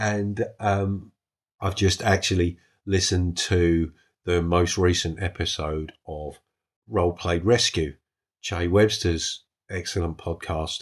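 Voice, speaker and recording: Very deep and low in pitch, a man speaks with a British accent and fairly even intonation. His pace is very slow. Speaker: solo tabletop RPG podcast host. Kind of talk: casual solo monologue. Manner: halting, with ums and false starts.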